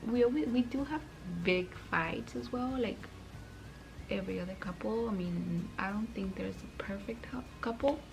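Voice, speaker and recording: A woman with a medium-pitched voice talks at a moderate pace with lively intonation, while music plays behind her in a room with audible echo. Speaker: vlogger. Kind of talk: casual Q&A vlog. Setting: at home at night. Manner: code-switches Spanish words.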